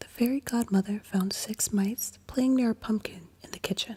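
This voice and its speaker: Somewhat breathy and gentle in tone, a woman speaks at a fairly slow pace with fairly even intonation in a dry, close sound with no echo. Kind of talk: bedtime story reading. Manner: soft-spoken, gentle.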